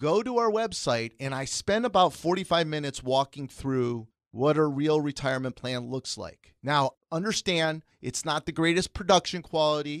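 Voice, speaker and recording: Recorded dry and close with no echo, a man with an unremarkable speaking voice talks at a moderate pace, his fairly high pitch carrying lively intonation. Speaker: financial instructor. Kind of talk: educational radio talk. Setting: studio.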